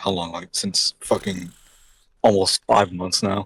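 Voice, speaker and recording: Recorded dry and close with no echo, a man speaks at a very slow pace. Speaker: podcast host; composer. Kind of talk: casual podcast conversation. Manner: stuttering.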